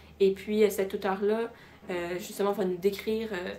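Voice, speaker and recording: Her delivery moves at a moderate pace, in a monotone, flat intonation. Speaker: student. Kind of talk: casual talk to camera, book recommendations.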